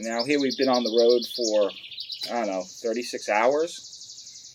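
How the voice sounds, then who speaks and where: A man speaks with a New York accent. He goes at a fairly slow pace. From Long Island, New York. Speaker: pipe smoking channel host. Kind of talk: storytelling. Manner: casual, many filler words.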